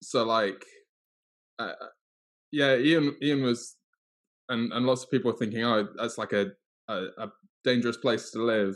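Long, frequent pauses break up a man's speech in a northern English accent, his intonation fairly even. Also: medium pitch for a man, moderate pace. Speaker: co-host. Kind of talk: casual chat.

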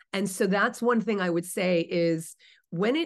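A woman speaks at medium pitch with lively intonation. She has an unremarkable speaking voice. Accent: American. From US East Coast, New Jersey. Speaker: vegan author and advocate. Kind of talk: interview conversation.

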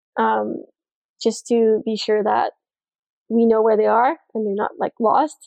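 A woman with fairly high pitch speaks at a moderate pace in a monotone, flat intonation. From Montreal, Quebec. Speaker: spearfisher and diver in sales. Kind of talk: casual interview.

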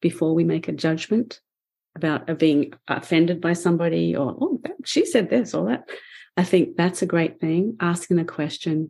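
A woman's fairly low, dark and mellow voice with vocal fry, ordinary pitch variation and a moderate pace, on a very clean recording with a silent background. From Australia. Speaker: painter and author. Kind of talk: interview conversation. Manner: laughs often.

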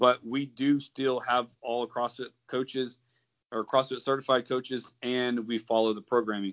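A man with a normal speaking voice talks at a moderate pace in a medium pitch. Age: 30s. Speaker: army veteran and CrossFit coach. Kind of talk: casual chat.

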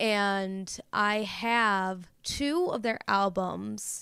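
This woman has an unremarkable speaking voice at a medium pitch with fairly even intonation. The recording is very clean, with a silent background. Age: 20s. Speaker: listener sharing experience as a fan. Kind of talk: recorded voice note testimony.

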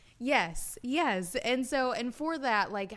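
A woman with a Southern US accent speaks with lively intonation. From US South, Alabama. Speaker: podcaster and business owner. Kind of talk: casual interview.

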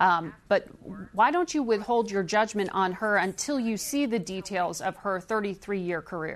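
At a moderate pace, a woman with a medium-pitched voice talks in an unremarkable speaking voice. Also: ordinary pitch variation. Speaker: TV news host. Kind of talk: news interview.

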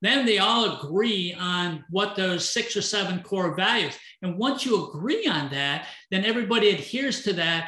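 A man's high, bright, sharp voice, raised and projected, at a moderate pace with ordinary pitch variation. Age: 60s. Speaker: entrepreneur and business coach. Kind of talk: casual interview.

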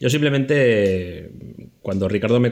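A man speaks against a quiet background. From Spain, Zaragoza. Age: 40s. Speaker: podcast co-host and editor. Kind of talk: reading listener questions. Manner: slow, deliberate reading.

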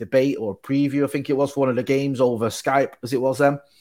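A man with a Mancunian accent talks at a very fast pace in a very clean recording with a silent background. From Manchester, England. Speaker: football fan channel co-owner. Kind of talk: casual chat.

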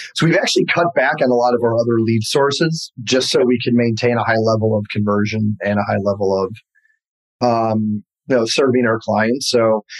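Speaking with an American accent, a man has an unremarkable speaking voice and ordinary pitch variation. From US Midwest, Detroit area. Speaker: real estate team leader. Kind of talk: interview.

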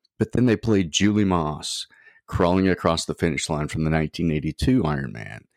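A man with a very deep, low pitch, an American accent and lively intonation. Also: fairly quick pace. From Oklahoma, US. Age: 60s. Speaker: triathlete and spinal injury survivor. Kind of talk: interview, personal story. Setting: remote call.

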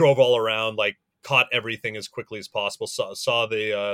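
A man talks in an ordinary speaking voice at a moderate pace with fairly even intonation. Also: dry, close sound with no echo. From US West (rural Montana). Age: 40s. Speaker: film director. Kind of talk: casual chat.

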